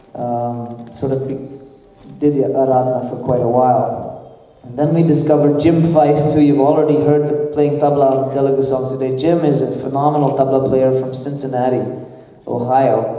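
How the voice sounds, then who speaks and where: A medium-pitched man with a slight Nepali accent, at a moderate pace, in monotone, flat intonation, with audible room echo and noticeable background noise. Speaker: worship band leader. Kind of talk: stage introduction of band members.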